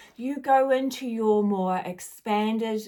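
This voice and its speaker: A woman's fairly high voice with a dark, mellow tone, a New Zealand accent and a very slow pace. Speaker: spiritual guide. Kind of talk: casual spiritual monologue.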